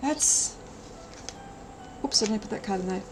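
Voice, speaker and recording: With music in the background, a woman speaks in an Australian accent. Her pitch is medium, with ordinary variation. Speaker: streamer. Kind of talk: live stream chat. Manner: fast.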